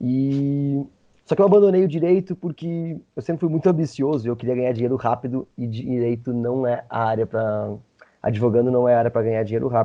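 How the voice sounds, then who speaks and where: A man with an unremarkable speaking voice talks at a fairly quick pace, at a medium pitch with ordinary pitch variation. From Brazil, interior of Rio Grande do Sul. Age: 30s. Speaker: travel content creator, former lawyer. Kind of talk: podcast interview.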